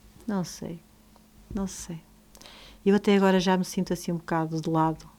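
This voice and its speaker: A woman speaks in a dark, mellow tone at fairly low pitch. Her intonation stays monotone and flat. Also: moderate pace. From northern Portugal. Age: 60s. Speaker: teacher and author. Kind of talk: interview.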